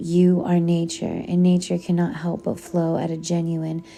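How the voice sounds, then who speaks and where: With music in the background, a woman with a fairly low pitch speaks in a calm tone at a fairly slow pace, her intonation fairly even. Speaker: audiobook narrator. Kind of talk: poetry reading. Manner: calm, soft-spoken.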